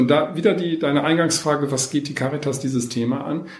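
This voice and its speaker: Fairly quick speech with ordinary pitch variation, noticeable background noise and audible room echo. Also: man. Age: 50s. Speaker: social welfare organisation manager. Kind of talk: interview. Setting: on location, not in a studio.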